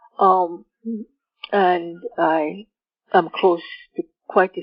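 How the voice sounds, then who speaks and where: This woman's intonation stays fairly even. Her pitch is fairly low. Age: 70s. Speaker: author. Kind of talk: interview. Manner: halting.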